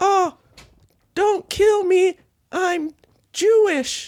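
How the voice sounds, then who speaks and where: The pitch sits extremely high and sounds squeaky. It is a put-on character voice. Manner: panicked, pleading.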